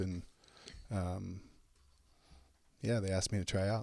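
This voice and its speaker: A soft-spoken man with a fairly low pitch and an American accent, at a moderate pace in a flat, monotone delivery. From US Pacific Northwest (north Seattle, Shoreline). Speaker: musician. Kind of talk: podcast interview.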